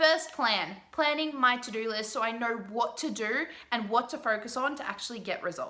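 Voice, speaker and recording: Woman's fairly high voice with ordinary pitch variation, audible room echo and noticeable background noise. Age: 20s. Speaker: business coach. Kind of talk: tutorial.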